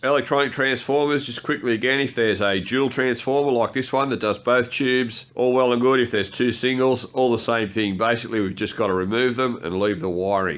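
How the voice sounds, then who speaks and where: The speaker has an Australian accent and ordinary pitch variation. The pace is fairly quick. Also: man, medium pitch for a man. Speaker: DIY workshop video maker. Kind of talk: tutorial.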